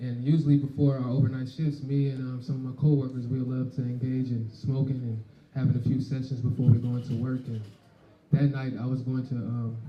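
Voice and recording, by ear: A fairly quick pace with little pitch movement and audible room echo. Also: man, medium pitch for a man.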